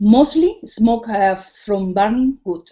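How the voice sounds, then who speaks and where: Her intonation is lively as a woman speaks at a fairly high pitch. She goes at a very slow pace. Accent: Spanish. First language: Spanish. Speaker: cooking teacher. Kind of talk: tutorial. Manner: halting.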